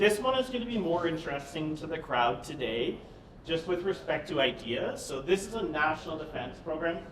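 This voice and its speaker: A loud, high-pitched man's voice in a Canadian accent, with lively intonation at a moderate pace, amid noticeable background noise and audible room echo. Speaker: government procurement advisor. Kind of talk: conference presentation. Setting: stage with audience. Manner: animated.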